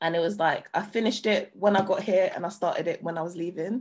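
Against a quiet background, a woman speaks with a London accent. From London, Hackney. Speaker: DJ and producer. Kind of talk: interview. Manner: casual, lots of filler words.

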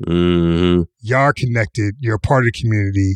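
A man with a plain, everyday voice and an American accent, lively intonation and a moderate pace, in dry, close sound with no echo and a quiet background. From US, Pittsburgh. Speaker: podcast host, creative strategist. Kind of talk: casual chat.

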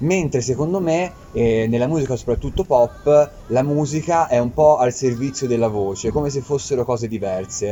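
Over music in the background, a man talks at medium pitch with ordinary pitch variation. He keeps a moderate pace with hardly any pauses. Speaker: talk show host. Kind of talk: casual chat. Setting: live event venue.

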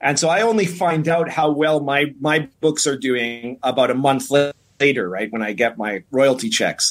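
Speaking at a fairly slow pace with hardly any pauses, a man has a plain, everyday voice pitched fairly high. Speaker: show host. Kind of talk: casual chat.

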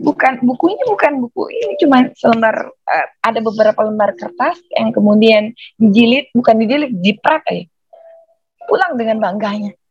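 A plain, everyday voice at a moderate pace, lively in intonation, with a dry, close sound and no echo. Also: woman, fairly high pitch for a woman. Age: middle-aged. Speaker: writing teacher. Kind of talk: lecture.

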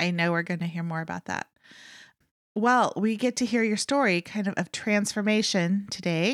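Recorded with a dry, close sound and no echo, a woman speaks at medium pitch and a moderate pace with ordinary pitch variation. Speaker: podcast host, former therapist. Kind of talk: interview. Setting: video call. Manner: warm, enthusiastic.

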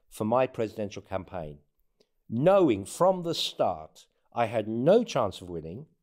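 A man with a dark, mellow tone speaks at a moderate pace with very wide pitch swings. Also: very clean recording, silent background. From born in Northern Africa, lived in England and US. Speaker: presidential candidate. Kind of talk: interview conversation. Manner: humorous, halting with repetitions.

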